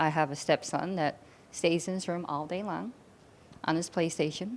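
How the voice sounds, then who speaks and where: This woman's voice sits at a fairly low pitch. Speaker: business leader, panelist. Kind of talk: panel discussion. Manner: loud.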